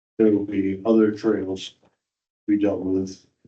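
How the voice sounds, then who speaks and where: A man's fairly low, dark, mellow voice with monotone, flat intonation. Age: 70s. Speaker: volunteer trail crew leader. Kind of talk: report at a town commission meeting. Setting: town commission meeting.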